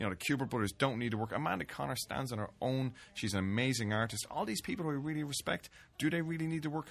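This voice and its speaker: Talking at a very fast pace, a man with an Irish accent uses lively intonation. The recording is very clean, with a silent background. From Ireland, Dublin. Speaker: fanzine editor and Hugo winner. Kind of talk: casual chat. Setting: studio.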